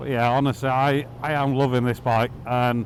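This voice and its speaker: This man talks at a moderate pace with a Yorkshire accent. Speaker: motorcycle vlogger. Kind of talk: casual ride vlog commentary. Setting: riding a motorbike outdoors.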